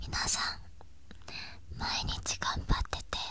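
A woman whispers. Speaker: ASMR creator. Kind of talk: soft whispered ASMR talk. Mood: gentle, comforting, praising. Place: home room. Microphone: studio mic.

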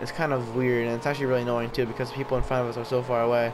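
Amid noticeable background noise, a man mumbles at a very fast pace. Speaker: gaming video commentator. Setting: racing video game commentary recording. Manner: fast talker, slightly mumbled speech.

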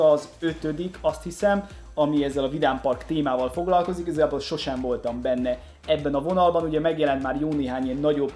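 A man speaks at a very fast pace. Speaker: LEGO news host. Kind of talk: casual vlog commentary. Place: home room.

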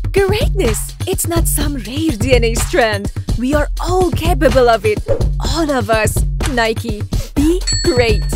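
Clear music plays behind a woman who speaks at a very slow pace, her voice recorded dry with no echo. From Iran. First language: Persian. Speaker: voice actor. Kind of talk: TV commercial read. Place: booth. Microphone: studio mic.

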